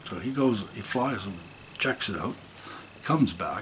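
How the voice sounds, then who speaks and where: Noticeable background noise sits behind a man with a Canadian prairie accent. His pitch is medium, with ordinary variation, and his pace is moderate. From Saskatchewan, Canada (Saskatoon). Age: 70s. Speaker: musician and retired school principal. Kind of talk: interview storytelling. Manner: animated.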